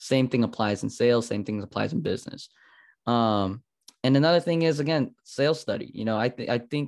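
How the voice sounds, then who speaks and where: It's an unremarkable speaking voice from a man, heard over a quiet background. He moves at a fairly quick pace with ordinary pitch variation. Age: 20s. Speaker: marketing agency owner for fitness businesses. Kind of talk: podcast interview.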